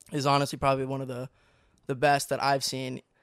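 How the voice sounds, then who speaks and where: An ordinary speaking voice, a man with a fairly high pitch and an American accent talks at a fairly quick pace, dry and close with no echo, on a very clean recording with a silent background. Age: 20s. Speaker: former youtube channel member. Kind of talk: casual chat.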